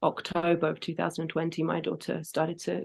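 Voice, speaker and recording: A woman with a British accent speaks at a fairly low pitch. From Britain. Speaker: singer and grief educator. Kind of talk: interview.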